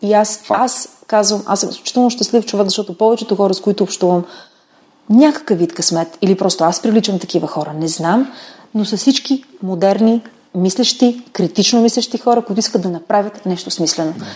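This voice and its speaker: A woman's plain, everyday voice at medium pitch, with ordinary pitch variation and a fairly quick pace. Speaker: molecular biologist. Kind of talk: interview.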